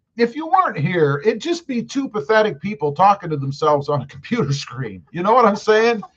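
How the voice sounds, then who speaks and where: Loud and high-pitched, a man races along at a fairly quick pace with very wide pitch swings and hardly any pauses. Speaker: truck youtuber live streamer. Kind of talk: live stream chat reading comments. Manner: loud, projecting.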